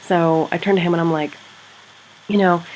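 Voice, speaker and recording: Through noticeable background noise, a woman speaks in an animated tone. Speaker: secondary school teacher and vlogger. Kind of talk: casual vlog. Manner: rambling, animated.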